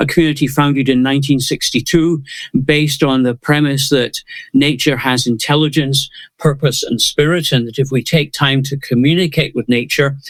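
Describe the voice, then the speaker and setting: A man with a Scottish accent talks at a moderate pace. His pitch is fairly high, and his intonation is fairly even. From Scotland. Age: 70s. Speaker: conservationist. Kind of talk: interview.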